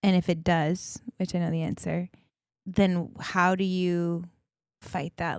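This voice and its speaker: In a very clean recording with a silent background and a dry, close sound with no echo, a woman talks at a fairly low pitch in a flat, monotone way. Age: 30s. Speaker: podcast co-host. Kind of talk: casual chat. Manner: talkative.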